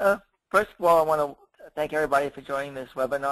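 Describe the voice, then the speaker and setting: A man rushes through his words very fast against a quiet backdrop, his pitch varying in an ordinary way. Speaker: webinar presenter, digital marketing consultant. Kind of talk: webinar presentation. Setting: online webinar call.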